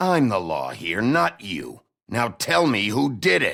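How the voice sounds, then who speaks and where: Growling in a put-on character voice, a man at medium pitch speaks at a fairly slow pace with very wide pitch swings. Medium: video game. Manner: gruff, terse.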